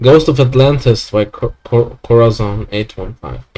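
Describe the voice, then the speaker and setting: A man speaks with a non-native accent. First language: not English. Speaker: gaming streamer. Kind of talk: let's play commentary; reading aloud.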